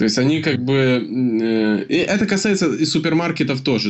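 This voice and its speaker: A man speaks at medium pitch with lively intonation. His is a plain, everyday voice. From Ukraine. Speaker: podcast co-host. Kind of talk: casual chat.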